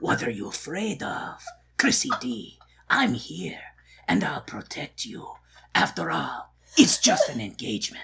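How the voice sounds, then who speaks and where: A woman whispers in a put-on character voice, leaving long, frequent pauses. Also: moderate pace. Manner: earnest, reassuring.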